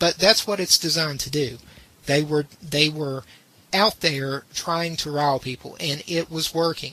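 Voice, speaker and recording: A moderate pace with noticeable background noise. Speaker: podcast host. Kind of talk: casual chat. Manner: halting.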